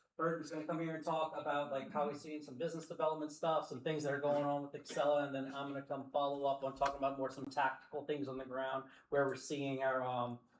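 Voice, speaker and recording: A very fast, flat monotone from a man with an American accent and a fairly high pitch, hardly any pauses, over noticeable background noise. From US South. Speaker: company representative, event sponsor. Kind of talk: introductory remarks to audience. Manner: loud.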